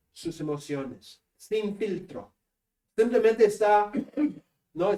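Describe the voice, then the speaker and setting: A man's high-pitched voice in a northern Peruvian accent, dark and mellow in tone, with ordinary pitch variation. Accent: Spanish accent of northern Peru. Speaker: seminary professor. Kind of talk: lecture.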